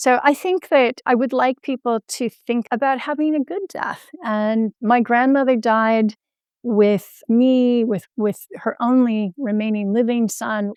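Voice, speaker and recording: An unremarkable speaking voice at a fairly slow pace, with ordinary pitch variation, dry and close with no echo, over a quiet background. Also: woman. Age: 60s. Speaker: health entrepreneur and patient advocate. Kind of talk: podcast interview.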